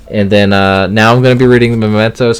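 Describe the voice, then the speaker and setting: Music plays in the background as a man speaks at a fairly quick pace. His pitch is fairly low and his intonation fairly even. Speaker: manga collector youtuber. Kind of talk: casual unboxing haul video. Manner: fast.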